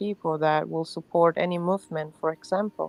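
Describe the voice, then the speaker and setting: In a dry, close recording with no echo, a woman with a non-native accent talks at a fairly low pitch. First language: not English. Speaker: livestream participant. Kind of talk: casual chat.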